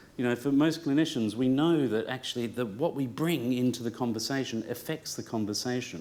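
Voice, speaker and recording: With an Australian accent, a man speaks at a very fast pace and medium pitch, with ordinary pitch variation and audible room echo. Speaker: clinician and speaker. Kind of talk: conference talk. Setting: room with live audience. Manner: hesitant, many fillers.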